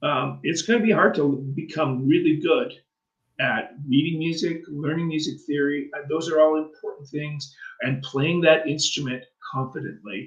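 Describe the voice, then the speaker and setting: An ordinary speaking voice from a man, fairly high in pitch, with ordinary pitch variation at a moderate pace. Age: 60s. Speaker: radio co-host and bass player. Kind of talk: radio talk show chat, giving advice. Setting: online radio show.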